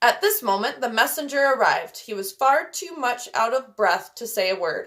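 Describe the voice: The text is read aloud plainly.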